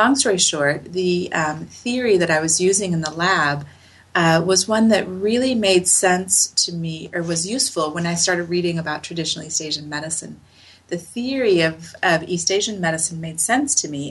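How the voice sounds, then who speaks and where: A woman talks in a fairly low pitch with an American accent. Noticeable background noise runs under her voice. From US, Utah (Salt Lake City). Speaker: acupuncturist and researcher. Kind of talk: interview.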